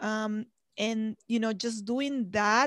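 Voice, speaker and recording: Woman at a fairly slow pace, fairly high pitch, an unremarkable speaking voice, very clean recording with a silent background. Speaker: podcast host and real estate influencer. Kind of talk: interview chat.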